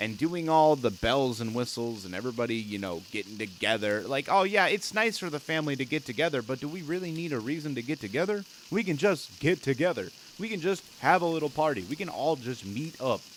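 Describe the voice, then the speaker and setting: Loud and fairly quick with hardly any pauses, a man speaks at a fairly high pitch that swings very widely. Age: 20s. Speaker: gaming streamer. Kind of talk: casual gameplay commentary. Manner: animated.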